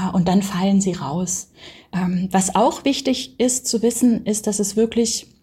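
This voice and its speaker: A woman of medium pitch speaks in a dark, mellow, somewhat breathy tone with fairly even intonation. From Baden-Württemberg, Germany (village). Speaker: anthropologist. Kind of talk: interview.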